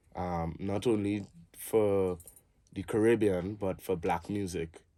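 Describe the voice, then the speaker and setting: Speaking at a very slow pace with fairly even intonation, the voice has a dark, mellow tone and a Trinidadian accent. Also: man. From Trinidad and Tobago. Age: 30s. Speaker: musician and cultural advocate. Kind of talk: interview.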